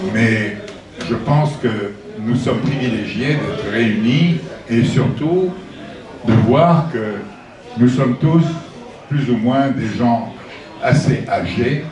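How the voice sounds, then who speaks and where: A man speaks at a very slow pace with long, frequent pauses, a medium pitch and ordinary pitch variation. Noticeable background noise and audible room echo fill the recording. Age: 80s+. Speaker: author presenting his book. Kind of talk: book talk to an audience. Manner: halting.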